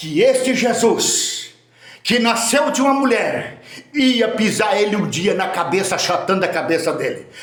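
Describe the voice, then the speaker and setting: A man with an extremely high pitch and animated tone talks at a fairly slow pace with ordinary pitch variation, amid audible room echo and noticeable background noise. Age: 60s. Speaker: preacher. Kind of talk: sermon.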